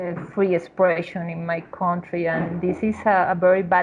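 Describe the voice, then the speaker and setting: A woman talks at a moderate pace in a flat, monotone delivery with a fairly low pitch. Background noise is noticeable. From Venezuela. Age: 40s. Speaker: university professor. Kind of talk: personal testimony. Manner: halting.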